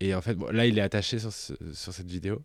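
This man has a plain, everyday voice, fairly low in pitch with ordinary pitch variation, talking at a moderate pace in a very clean recording with a silent background and a dry, close sound with no echo. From France, Auvergne. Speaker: podcast co-host, drag performer. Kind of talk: casual chat.

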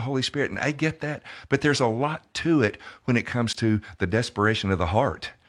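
A man at a moderate pace. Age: 60s. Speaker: pastor and author. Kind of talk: interview testimony. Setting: studio.

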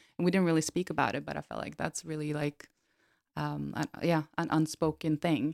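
A woman with a Norwegian accent speaks at a fairly quick pace, the sound dry and close with no echo in a very clean recording with a silent background. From Norway. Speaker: podcast co-host. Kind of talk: casual chat.

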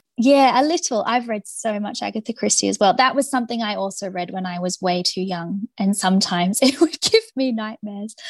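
With an Australian accent, a woman speaks at a fairly quick pace with hardly any pauses. Her fairly high, somewhat breathy voice sounds dry and close with no echo. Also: ordinary pitch variation. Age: 30s. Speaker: author. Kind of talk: interview.

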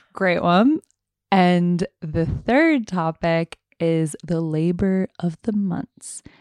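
A woman with a New York accent speaks very slowly at a fairly low pitch with ordinary pitch variation, her voice dry and close with no echo against a quiet background. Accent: New York American. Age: 20s. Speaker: photographic artist. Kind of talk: casual chat.

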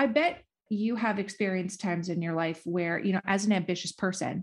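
The speaker talks at a fairly quick pace, somewhat breathy, with ordinary pitch variation. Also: woman. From US Midwest, northern Minnesota. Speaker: podcast host.

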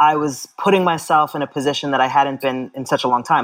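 A woman's very deep, low voice with fairly even intonation on a very clean recording with a silent background. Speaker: running advocate and author. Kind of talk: interview conversation.

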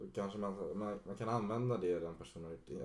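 Against audible room echo, a man with a fairly low pitch and vocal fry talks at a very fast pace with ordinary pitch variation. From Stockholm, Sweden (Solna). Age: 20s. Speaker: DJ and music producer. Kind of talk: casual chat.

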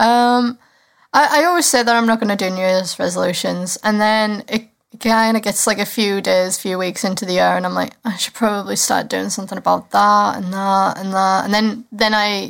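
A woman with a Cumbrian accent on a very clean recording, background silent. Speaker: podcast co-host. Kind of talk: casual chat.

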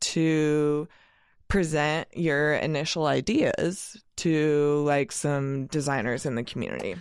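A woman's very deep, low voice with an American accent, at a very slow pace against a quiet background. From US Northwest, Oregon (Eugene). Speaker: freelance graphic designer. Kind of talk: casual chat.

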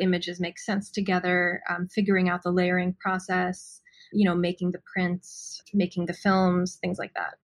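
A woman's somewhat breathy voice. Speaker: artist photographer. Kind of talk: casual interview.

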